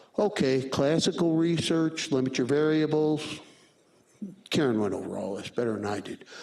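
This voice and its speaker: The speaker has lively intonation at a moderate pace, with audible room echo and noticeable background noise. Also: man. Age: 70s. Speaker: radiology professor. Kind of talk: lecture. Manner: casual.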